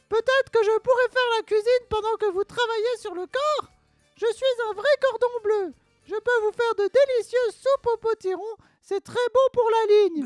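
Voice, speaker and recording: Faint music plays behind a female-sounding put-on character voice with an extremely high pitch at a moderate pace. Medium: short film. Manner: eager, chatty.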